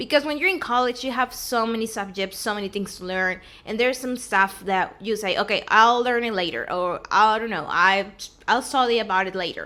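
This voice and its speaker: On a very clean recording with a silent background, an unremarkable speaking voice goes along fairly quickly, its pitch varying in an ordinary way. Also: woman. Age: 20s. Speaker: vlogger and recent college graduate. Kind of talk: casual vlog talk to camera. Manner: casual, conversational.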